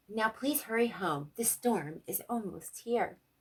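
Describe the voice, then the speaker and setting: A female-sounding, put-on character voice, squeaky and fairly high in pitch. It moves at a fairly slow pace. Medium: read story.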